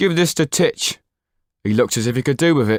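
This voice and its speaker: Using a put-on character voice, a man speaks at a medium pitch with a raspy edge. His intonation is lively, his pace fairly quick, and the sound is dry and close with no echo. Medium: read story. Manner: jocular.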